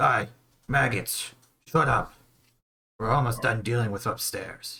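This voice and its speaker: Using a raspy put-on character voice at a medium pitch, a man speaks at a fairly slow pace. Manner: gruff, commanding.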